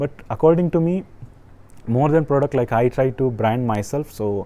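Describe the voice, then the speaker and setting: Speaking with an Indian accent at a fairly quick pace, a man has a dark, mellow tone. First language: an Indian language. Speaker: online business coach. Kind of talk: tutorial. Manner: halting.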